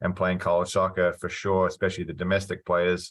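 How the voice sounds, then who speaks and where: Against a quiet background, a man with a New Zealand accent speaks at a fairly quick pace in a very deep, low pitch. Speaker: college soccer coach. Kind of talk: interview.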